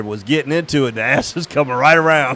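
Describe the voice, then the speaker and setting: Fairly quick speech from a fairly high-pitched man, ordinary pitch variation, noticeable background noise. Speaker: sim racing stream host. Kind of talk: casual chat. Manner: quiet, low-volume speech.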